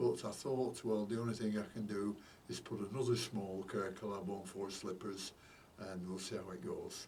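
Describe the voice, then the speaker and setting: Mumbling at a moderate pace, a man talks with fairly low pitch and fairly even intonation. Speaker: orchid grower. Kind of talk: casual talk to camera. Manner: mumbly.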